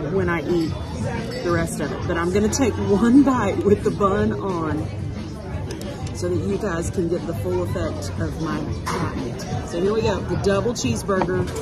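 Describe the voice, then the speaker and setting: The speech moves at a moderate pace while loud music plays in the background. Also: woman. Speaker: food vlogger. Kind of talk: casual vlog chat. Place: cafe. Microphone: phone near.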